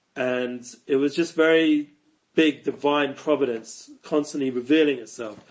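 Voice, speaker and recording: The speaker is a man with a fairly high voice. His intonation stays fairly even. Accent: London. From North London, England. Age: 40s. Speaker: rabbi and online educator. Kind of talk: podcast interview.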